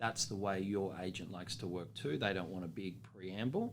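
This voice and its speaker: In an Australian accent, a man with a fairly low pitch speaks at a fairly quick pace in a confident tone, his pitch variation ordinary. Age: young. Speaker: auctioneer. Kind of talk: interview answer about auctioneering. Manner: confident, conversational.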